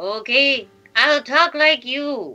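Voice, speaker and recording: A female-sounding, put-on character voice speaks at a high pitch. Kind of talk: plain, human-sounding speech.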